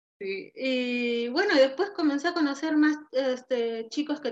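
The voice belongs to a woman. Its pitch variation is ordinary. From Peru, Tacna. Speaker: emigrant interviewee. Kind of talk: interview. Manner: halting.

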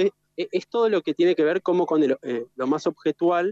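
Recorded with a dry, close sound and no echo, a man with an unremarkable speaking voice talks at a moderate pace with ordinary pitch variation. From Argentina, Gualeguaychú (Entre Ríos). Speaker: architect. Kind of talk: interview conversation. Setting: remote connection, outdoors in the city.

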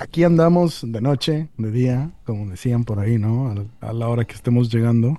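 With a dark, mellow tone, a man speaks at a moderate pace with a medium pitch and ordinary pitch variation. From Mexico (born Mexicali, moved around, studied in Monterrey). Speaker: tabletop role-playing community organizer. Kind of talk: casual interview. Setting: remote call. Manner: hesitant, many fillers and repetitions.

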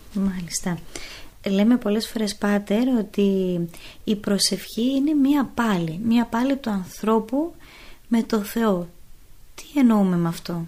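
In a very clean recording with a silent background, a woman with a fairly high, somewhat breathy voice and a dark, mellow tone talks at a very slow pace, using ordinary pitch variation and long, frequent pauses. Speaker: radio host and nun. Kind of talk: interview questions.

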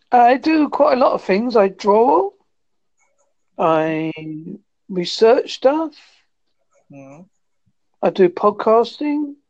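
In a West Country accent, a woman speaks very slowly at a fairly high pitch, with long, frequent pauses, big swings in loudness and very wide pitch swings. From England, Devon. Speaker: podcaster. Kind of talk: casual chat.

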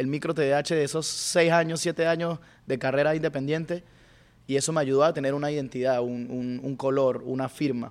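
Using a normal speaking voice, a man talks fairly quickly at a fairly high pitch with fairly even intonation. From Venezuela, Mérida. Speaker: rapper. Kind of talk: casual chat.

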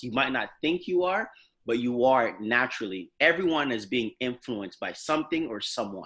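Recorded very cleanly against a silent background, a man of medium pitch with a bright, sharp tone and a Canadian accent talks at a fairly quick pace with lively intonation. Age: 20s. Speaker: pastor. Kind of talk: casual interview.

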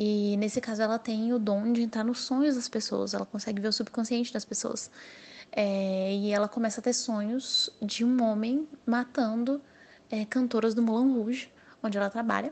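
A woman with a fairly high, somewhat breathy voice, monotone and flat in intonation, at a moderate pace. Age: 20s. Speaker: novelist. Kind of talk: interview monologue.

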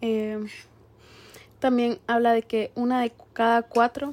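Her pitch is fairly high for a woman. The intonation stays monotone and flat. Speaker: podcast co-host. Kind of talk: casual chat.

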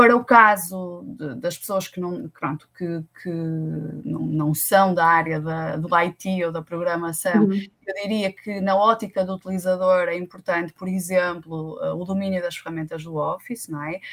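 An unremarkable speaking voice at a moderate pace, with hardly any pauses, fairly even intonation and big swings in loudness. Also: woman, fairly low pitch for a woman. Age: 30s. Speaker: tech recruitment consultant. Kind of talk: interview.

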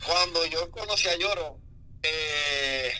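A man speaks over noticeable background noise. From Honduras, San Pedro Sula. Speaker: music producer. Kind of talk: casual interview.

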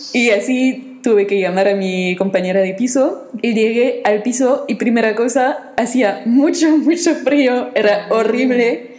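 A woman's high voice in a French accent, fairly slow with hardly any pauses, very even in loudness, with ordinary pitch variation, audible room echo and noticeable background noise. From France. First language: French (speaking Spanish). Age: 20s. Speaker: podcast guest, former volunteer abroad. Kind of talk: casual chat.

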